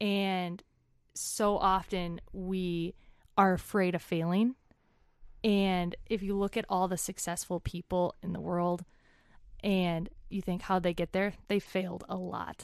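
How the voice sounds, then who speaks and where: A woman with an Upper Midwest accent speaks very slowly at a medium pitch, with long, frequent pauses. Her intonation is flat and monotone. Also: quiet background. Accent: Upper Midwest American. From US Midwest. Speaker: kidney donor. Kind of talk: casual interview. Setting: in person, face-to-face.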